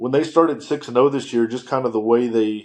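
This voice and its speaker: A man with a slight Southern US accent speaks against a quiet background. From US South, western North Carolina. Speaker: sports writer. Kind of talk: casual chat. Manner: halting, many fillers.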